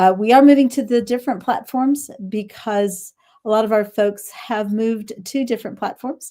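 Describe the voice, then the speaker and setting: At a moderate pace, a woman with a Texas accent speaks in a fairly high pitch with fairly even intonation. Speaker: business founder and show host. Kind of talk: live stream interview. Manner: halting.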